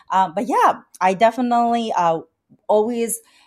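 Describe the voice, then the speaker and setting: Music plays in the background as a woman speaks. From Vietnam, Chinese-Vietnamese family. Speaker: wedding planner. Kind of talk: casual interview chat. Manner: hesitant, many fillers.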